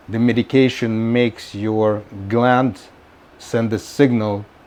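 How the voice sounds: A man speaks with a slightly mellow tone, a fairly low pitch and fairly even intonation.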